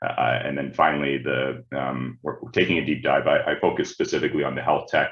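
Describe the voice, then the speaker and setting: A man speaks at a fairly quick pace. He leaves hardly any pauses. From Canada, Ontario. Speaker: management consultant. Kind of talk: webinar presentation. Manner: halting, many repeated words and fillers.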